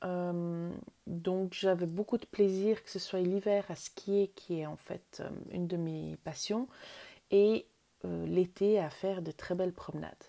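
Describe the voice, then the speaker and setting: A woman speaks at a very slow pace with a dark, mellow tone. Her intonation is fairly even, but her loudness swings widely. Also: medium pitch for a woman. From Switzerland, canton of Vaud. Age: 40s. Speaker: wellbeing podcaster. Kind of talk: personal storytelling monologue. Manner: hesitant with fillers.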